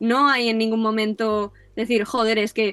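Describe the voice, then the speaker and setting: The sound is dry and close, with no echo, as the woman talks. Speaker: advertising student. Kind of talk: interview.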